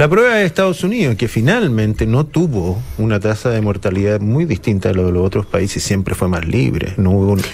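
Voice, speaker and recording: A man's fairly low voice, fairly quick with hardly any pauses, lively in intonation and very even in loudness, over noticeable background noise. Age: old. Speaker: radio panelist. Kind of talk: casual chat. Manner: halting.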